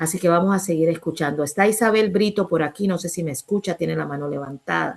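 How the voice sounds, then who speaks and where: Speaking at a very fast pace with hardly any pauses, a woman with a fairly low pitch shows ordinary pitch variation. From Colombia, Caribbean islands (raizal). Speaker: writer and activist speaker. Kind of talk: online talk Q&A.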